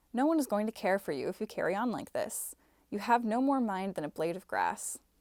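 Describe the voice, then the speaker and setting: A woman with an American accent speaks with lively intonation. The recording is very clean and dry, close with no echo and a silent background. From Minnesota, Midwestern US. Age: 20s. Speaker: software engineer and actor. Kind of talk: reading of a standard passage.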